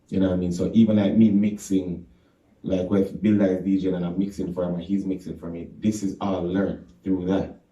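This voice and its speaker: A man's very deep, low voice with a dark, mellow tone, at a fairly quick pace. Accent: Jamaican. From Jamaica. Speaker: reggae artist. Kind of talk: radio interview. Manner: casual, animated.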